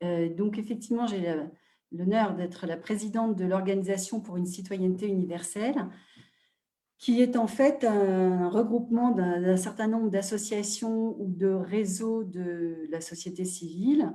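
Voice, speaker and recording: A woman's medium-pitched voice at a fairly slow pace, with ordinary pitch variation and audible room echo. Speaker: NGO president and advocate. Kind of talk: webinar talk. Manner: hesitant, many fillers.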